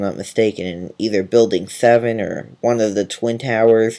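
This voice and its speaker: At a moderate pace, a man speaks in a medium pitch with a dark, mellow tone. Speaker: video blogger. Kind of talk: casual monologue to camera. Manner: halting, many fillers and self-corrections.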